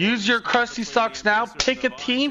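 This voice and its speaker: Over noticeable background noise, a man with an American accent speaks in a high, animated voice. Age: 30s. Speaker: esports co-streamer. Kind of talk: live commentary. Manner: casual, animated.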